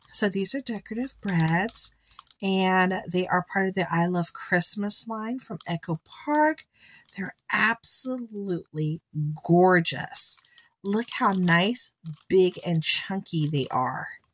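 Speaking very slowly, a woman sounds somewhat breathy, her intonation lively. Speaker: craft unboxing vlogger. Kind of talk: casual unboxing commentary. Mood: delighted, enthusiastic.

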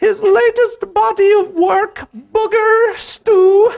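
A put-on character voice sits at an extremely high pitch. It moves at a very slow pace. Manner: put-on, affected.

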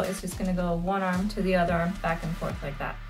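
Music sounds clearly behind the voice. The speaker is a woman. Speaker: home fitness instructor. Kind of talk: tutorial. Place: home room. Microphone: phone near.

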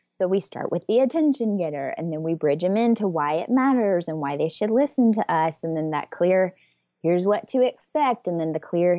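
A woman with a Southern US accent speaks at a moderate pace in a dark, mellow tone, with a fairly low pitch, lively intonation, a quiet background, and dry, close sound with no echo. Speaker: communication coach and business owner. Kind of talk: interview.

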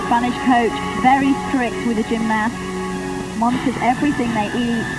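Music can be heard behind a woman's voice. She talks at a moderate pace. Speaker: sports commentator. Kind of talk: commentary.

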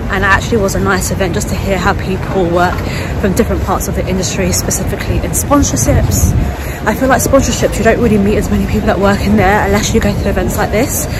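A woman talks at a very fast pace over crowd noise in the background, the sound dry with no echo. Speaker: vlogger. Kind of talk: casual vlog chat. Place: street. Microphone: phone near.

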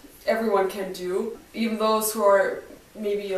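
With audible room echo, a woman talks at a fairly slow pace in a monotone, flat intonation. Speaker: professional dancer and fitness instructor. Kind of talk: stretching tutorial talk to camera. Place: home room. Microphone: camera far.

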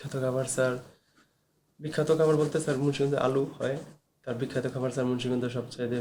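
Monotone, flat intonation at a medium pitch from a man. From Munshiganj, Bangladesh. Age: 30s. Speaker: patient. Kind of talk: patient interview. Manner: halting.

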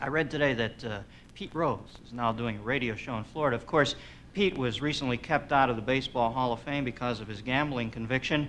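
Over light background noise, a man talks at a very fast pace with big swings in loudness and ordinary pitch variation. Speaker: talk show host. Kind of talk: comedy monologue. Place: stage.

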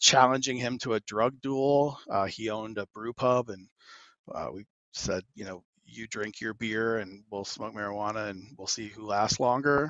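A man with a normal speaking voice and medium pitch keeps a moderate pace and fairly even intonation. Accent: American. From Arizona. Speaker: cannabis policy advocate. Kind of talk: casual interview.

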